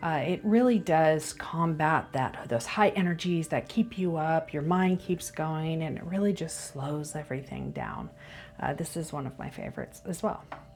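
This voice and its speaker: With music playing in the background, the voice moves through ordinary pitch variation. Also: woman. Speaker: reiki practitioner showing crystals. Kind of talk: casual video tutorial. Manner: frequent filler uh and um.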